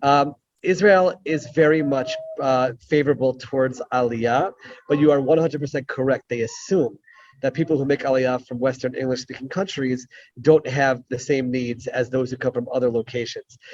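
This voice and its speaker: In an American accent, a man speaks at a moderate pace and medium pitch. He has a plain, everyday voice with fairly even intonation. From United States. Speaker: rabbi and former Israeli legislator. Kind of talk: Q&A answer in an online talk. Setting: video call from an airport.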